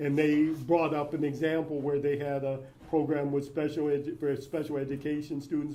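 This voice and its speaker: Someone talks at a moderate pace with monotone, flat intonation. There is audible room echo. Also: man. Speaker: public records expert speaker. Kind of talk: lecture; audience Q&A answer. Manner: halting.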